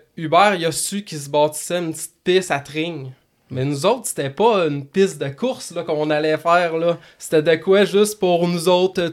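The pace is moderate, with ordinary pitch variation. Loudness swings widely throughout. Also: man, high pitch for a man. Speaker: motocross track owner and racer. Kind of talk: casual chat. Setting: studio.

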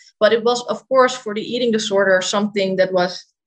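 A woman speaks with a Dutch accent. Her intonation stays fairly even. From Netherlands, Amsterdam. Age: 20s. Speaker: dietitian. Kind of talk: interview.

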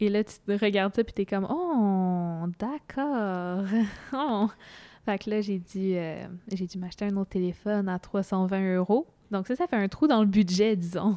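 A woman's medium-pitched voice with a Quebec accent, dark and mellow in tone, fairly slow in pace, with ordinary pitch variation, on a very clean recording with a silent background. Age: young. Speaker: student. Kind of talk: casual chat.

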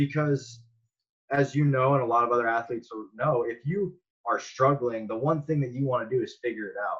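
Here a man has an unremarkable speaking voice and a medium pitch. He talks with an American accent at a fairly quick pace. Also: fairly even intonation. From Las Vegas, Nevada, US. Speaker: professional baseball player. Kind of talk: casual interview.

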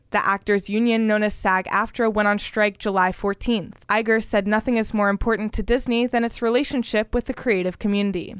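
A woman speaks fairly quickly in a fairly high, flat monotone, with hardly any pauses and very even loudness, in a very clean recording with a silent background. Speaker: student radio entertainment news reporter. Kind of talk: newsreading, brisk polished entertainment news read from a script. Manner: formal, measured.

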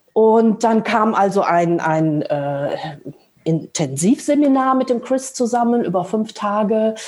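Very slowly, a woman speaks at a fairly high pitch with very wide pitch swings and very even loudness. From Lower Rhine region, Germany. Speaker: translator and mindfulness teacher. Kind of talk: casual interview conversation. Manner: halting, many filler sounds.

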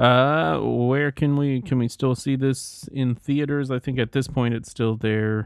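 This man has an ordinary speaking voice at medium pitch, with fairly even intonation. He talks at a fairly slow pace with hardly any pauses. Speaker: podcast co-host.

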